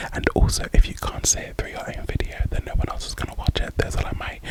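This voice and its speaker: A woman whispering at a fairly quick pace, with noticeable background noise. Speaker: ASMR content creator. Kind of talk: ASMR whisper ramble. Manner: whispered, soft-spoken.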